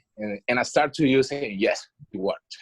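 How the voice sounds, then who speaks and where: A Colombian accent at a fairly quick pace, fairly even intonation, and a dry, close sound with no echo. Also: man. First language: Spanish. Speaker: language student. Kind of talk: class discussion. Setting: video call.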